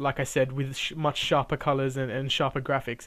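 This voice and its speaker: A man speaks at a fairly quick pace. His pitch is fairly high. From Australia, Sydney. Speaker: video game reviewer. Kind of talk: casual video game preview. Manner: halting, many fillers and repeats; casual, chatty.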